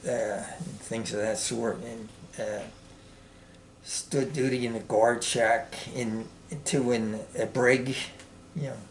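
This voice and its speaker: With long, frequent pauses and audible room echo, a man speaks at a very slow pace with ordinary pitch variation. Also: medium pitch for a man. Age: 70s. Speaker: Marine veteran. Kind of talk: interview. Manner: hesitant, many fillers.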